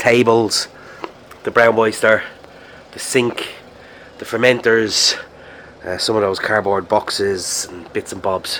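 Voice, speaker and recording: This man speaks at a moderate pace in a fairly low, flat monotone. Noticeable background noise runs underneath. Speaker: brewery owner vlogger. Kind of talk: video diary. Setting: outdoors. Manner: casual, halting with fillers.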